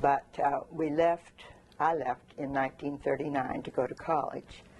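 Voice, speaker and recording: A woman speaks with a very deep, low pitch and fairly even intonation. Noticeable background noise runs underneath. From Korea, Canadian missionary family. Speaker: oral history interviewee. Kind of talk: oral history interview. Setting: at her home.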